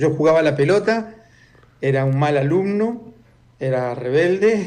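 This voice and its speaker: Audible room echo surrounds a man who speaks at a fairly slow pace with lively intonation. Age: 70s. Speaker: former intelligence agent and author. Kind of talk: interview.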